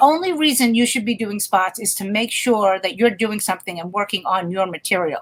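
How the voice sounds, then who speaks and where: A woman with an unremarkable speaking voice talks at a medium pitch and a fairly quick pace, with hardly any pauses. Her intonation is lively, with big swings in loudness. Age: 60s. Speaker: stand-up comedian. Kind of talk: casual chat.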